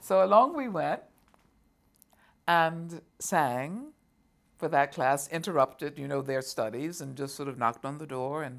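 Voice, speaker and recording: A fairly slow pace broken by long, frequent pauses. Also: woman, very deep, low pitch for a woman, ordinary pitch variation. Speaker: opera singer (mezzo-soprano). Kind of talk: interview answer, recounting a personal story. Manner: warm, fluent, conversational.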